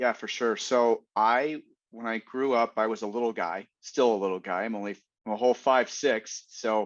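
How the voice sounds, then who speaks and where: This man has an unremarkable speaking voice, medium in pitch with fairly even intonation. The background is quiet. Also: moderate pace. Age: 50s. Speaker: fitness and recovery industry veteran. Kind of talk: casual interview chat.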